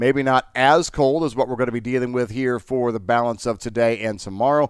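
In a very clean recording with a silent background, a man with an American accent talks fairly quickly in an ordinary speaking voice at medium pitch. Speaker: meteorologist. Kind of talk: weather forecast.

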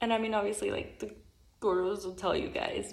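A quiet woman's voice at medium pitch. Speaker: secret Santa gift exchange participant. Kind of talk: recorded video message. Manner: speaking quietly.

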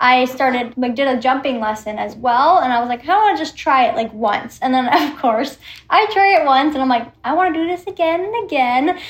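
The tone is animated. Intonation is lively throughout. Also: woman, high pitch for a woman, moderate pace. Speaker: content creator and equestrian. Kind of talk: casual chat.

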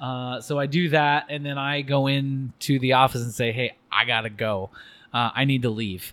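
Moderate pace from a man of medium pitch with a West Coast accent. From Oregon, US (Albany). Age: 40s. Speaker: podcast guest. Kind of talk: casual chat. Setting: church restroom.

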